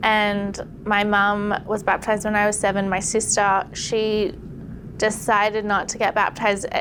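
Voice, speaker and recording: A woman with an Australian accent, monotone and flat in intonation, at a moderate pace. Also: medium pitch for a woman. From Australia, Sydney. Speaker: podcast guest sharing conversion story. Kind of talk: testimony. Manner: casual, conversational with filler words.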